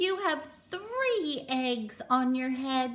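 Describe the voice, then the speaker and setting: Her voice is a put-on character voice. The woman pitches it high. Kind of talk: bedtime story. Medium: read story. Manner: calm, upbeat.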